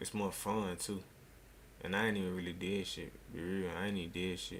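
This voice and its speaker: A man with very deep, low pitch and monotone, flat intonation at a fairly quick pace, with audible room echo. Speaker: streamer. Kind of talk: casual chat. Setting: live stream. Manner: soft-spoken.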